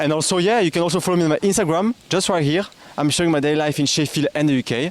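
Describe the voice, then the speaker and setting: Talking at a very fast pace with a French accent, a man with a fairly high voice comes through over noticeable background noise. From France. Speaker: YouTuber interviewer. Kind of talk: vlog intro to camera; casual interview.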